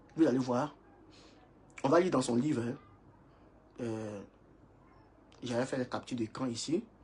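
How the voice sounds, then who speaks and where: Somewhat breathy, this voice moves with ordinary pitch variation and leaves long, frequent pauses. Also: man, medium pitch for a man. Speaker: preacher. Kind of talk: sermon. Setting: livestream. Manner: fast.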